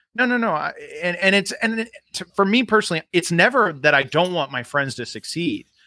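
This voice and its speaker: Raising and projecting his voice, a man with an American accent speaks fairly quickly at a high pitch with very wide pitch swings and a bright, sharp tone. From Florida, US. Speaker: actor and comedian. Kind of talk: casual interview chat.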